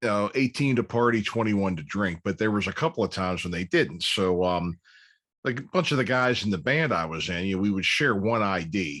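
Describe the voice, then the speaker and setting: A man with an American accent in a normal speaking voice, fairly low in pitch, with lively intonation and a fairly quick pace against a quiet background. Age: 50s. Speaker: podcast host. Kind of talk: casual interview chat.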